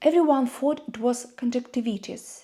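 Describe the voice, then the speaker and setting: In a Russian accent, a high-pitched woman with a dark, mellow tone speaks at a very slow pace. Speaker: YouTuber. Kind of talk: personal vlog monologue.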